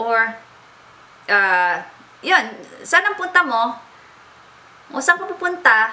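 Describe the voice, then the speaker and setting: A woman speaks with an Aurora accent at a high pitch and a fairly slow pace. Her pitch swings very widely. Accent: Filipino, Baler regional. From Baler, Aurora, Philippines. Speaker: beauty blogger. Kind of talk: casual talk to camera.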